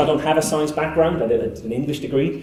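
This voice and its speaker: There is audible room echo and noticeable background noise as a man speaks at a fairly high pitch. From northern England. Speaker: skeptical activist, conference speaker. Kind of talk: conference talk. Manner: hesitant, many filler words.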